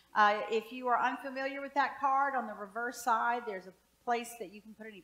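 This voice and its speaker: A woman's high-pitched voice, fairly even in intonation and moderate in pace, with audible room echo. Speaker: pastor. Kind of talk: prayer then announcements. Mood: warm, gentle. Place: church. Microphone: headset.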